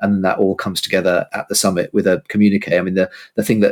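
A man with a British accent speaks very fast in a very deep, low, monotone, flat voice. The recording is very clean, dry and close, with no echo and a silent background. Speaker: policy analyst. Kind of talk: political discussion. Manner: hesitant, repeats words.

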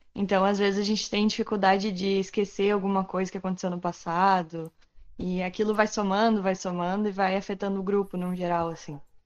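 Over a quiet background, a woman speaks at a fairly quick pace. Her medium-pitched delivery has monotone, flat intonation. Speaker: youth group member. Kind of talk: group discussion.

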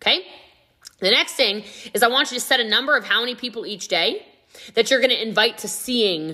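In an energetic tone, a woman speaks very fast with a fairly high pitch and lively intonation. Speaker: podcast host, network marketing trainer. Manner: fast talker; loud, energetic.

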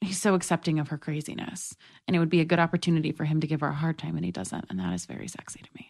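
A woman with an American accent speaks very fast in a very deep, low voice with vocal fry. Her intonation is lively, her loudness swings widely, and the background is quiet. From New York City. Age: 20s. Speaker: comedian and writer. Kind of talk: casual chat.

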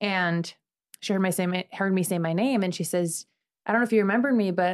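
This woman has an American accent and an ordinary speaking voice. She talks at a medium pitch and a fairly quick pace. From Chicago, US Midwest. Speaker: former TV news anchor, nonprofit founder. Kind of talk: casual interview chat.

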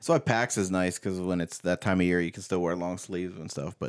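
In a very clean recording with a silent background, a man with an American accent talks very fast in a very deep, low voice. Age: 30s. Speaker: podcast co-host. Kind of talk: casual chat.

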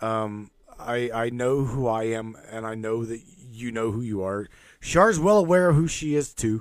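A man with a normal speaking voice, medium pitch, ordinary pitch variation and a moderate pace. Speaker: radio host. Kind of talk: casual chat.

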